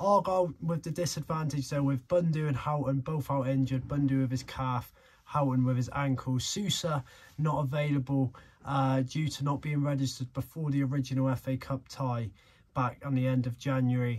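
Somewhat breathy, a man talks at a moderate pace. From England. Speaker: football fan vlogger. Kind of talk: casual vlog chat. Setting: stadium, outdoors with crowd. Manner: excitable; animated. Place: home room.

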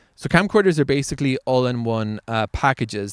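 A man at a fairly quick pace, dry sound with no echo, quiet background. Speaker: video creator. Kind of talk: casual vlog chat. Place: open country. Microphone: handheld.

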